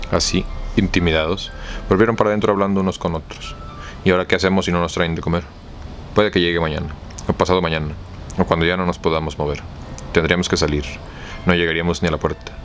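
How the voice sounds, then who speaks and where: A man speaks at a very fast pace in a very deep, low pitch, with long, frequent pauses. His intonation stays fairly even while music plays in the background. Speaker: audiobook reader. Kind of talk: audiobook novel reading.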